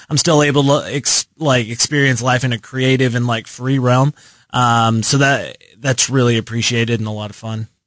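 With an American accent, a man speaks in an unremarkable speaking voice at medium pitch and a moderate pace. His intonation is fairly even, and the sound is dry and close with no echo. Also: quiet background. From Texas, Lubbock. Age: 20s. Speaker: marketing intern. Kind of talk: casual chat. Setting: radio studio.

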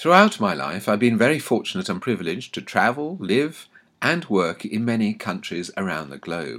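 The recording is very clean with a silent background. A man with a fairly low pitch and vocal fry makes very wide pitch swings. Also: moderate pace. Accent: southern English. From England, London (Anglo-Welsh). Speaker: author. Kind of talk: scripted narration. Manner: formal.

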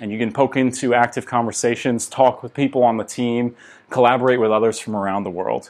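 With a normal speaking voice, a man with an American accent talks at a medium pitch with fairly even intonation. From United States. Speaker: tech startup co-founder. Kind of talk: interview.

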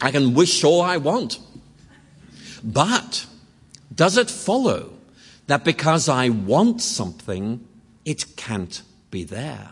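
Very slowly and with vocal fry, a man speaks in very wide pitch swings. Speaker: lecturer on religion and philosophy. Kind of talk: lecture. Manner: conversational with hesitations.

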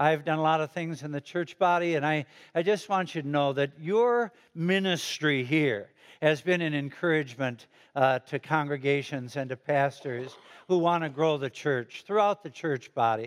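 At a moderate pace, a man speaks with an American accent in a fairly high pitch. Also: ordinary pitch variation. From Chicago, US Midwest. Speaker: retired pastor. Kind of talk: sermon. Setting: church. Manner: animated.

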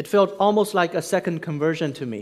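Recorded very cleanly against a silent background, a man with a Chinese accent speaks at a high pitch and a moderate pace. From China. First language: Mandarin Chinese. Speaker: pastor. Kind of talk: sermon. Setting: church.

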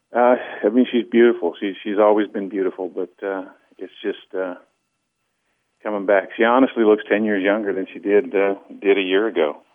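Someone with an American accent speaks at a fairly quick pace with fairly even intonation but takes long, frequent pauses. The loudness swings widely. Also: man. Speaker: program client sharing weight-loss story. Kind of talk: phone-in testimony. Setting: phone call. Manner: halting, repeats words with many fillers.

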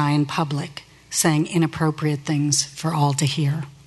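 In an American accent, a woman talks at a moderate pace with a very deep, low pitch. Background noise is noticeable. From Northeast Ohio, US. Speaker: church member sharing testimony. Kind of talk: testimony. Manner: read from script.

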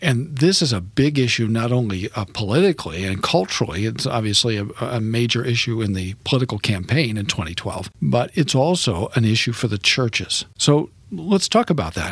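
Here a man talks at a moderate pace with hardly any pauses, his medium-pitched voice somewhat breathy. His intonation is lively. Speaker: radio host and seminary professor. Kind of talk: interview. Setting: studio.

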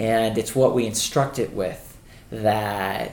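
Using a plain, everyday voice, a man speaks at a medium pitch and keeps his intonation fairly even. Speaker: podcast host. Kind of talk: casual chat.

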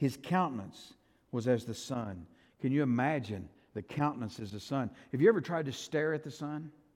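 A moderate pace on a very clean recording with a silent background. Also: man. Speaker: pastor. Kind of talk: sermon. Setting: church. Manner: halting, repeats words.

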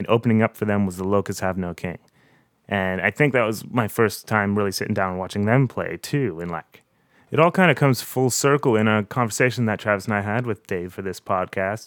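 In a dry, close sound with no echo and a very clean recording with a silent background, a man with a normal speaking voice and a Canadian accent talks at a fairly quick pace, his fairly low pitch showing ordinary variation. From Canada, Windsor area (Ontario). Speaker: podcast host and musician. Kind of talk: casual chat.

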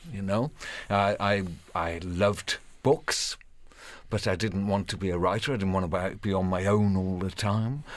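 The speaker has a Welsh accent and ordinary pitch variation. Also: man, fairly low pitch for a man, moderate pace, very clean recording, silent background. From Wales. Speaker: professional storyteller. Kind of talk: radio interview; storytelling performance.

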